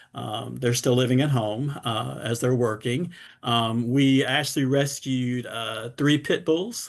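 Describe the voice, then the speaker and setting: This man talks in a Southern US accent at a medium pitch. His intonation is fairly even, and the background is quiet. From US South, Durham, North Carolina. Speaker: cancer survivor and advocate. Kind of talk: talk on a video call.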